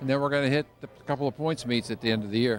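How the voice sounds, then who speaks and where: At a very fast pace, a man with an American accent speaks at medium pitch with fairly even intonation. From Pennsylvania. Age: 70s. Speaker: car collector and drag racer. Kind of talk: interview.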